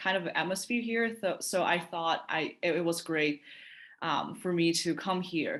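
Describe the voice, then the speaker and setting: A woman with a Chinese accent has a fairly low pitch. Her voice shows ordinary pitch variation. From China. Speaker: university student. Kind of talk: interview testimonial.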